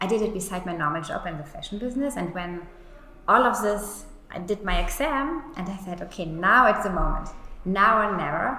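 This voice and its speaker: A woman with a German accent speaks at a fairly quick pace and medium pitch with very wide pitch swings, over noticeable background noise. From Germany. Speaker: beauty agency founder. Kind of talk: interview.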